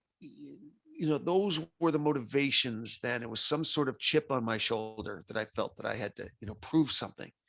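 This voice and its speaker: With lively intonation and big swings in loudness, a man at medium pitch talks at a moderate pace on a very clean recording with a silent background. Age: 60s. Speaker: sports promotion company founder and CEO. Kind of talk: interview. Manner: halting.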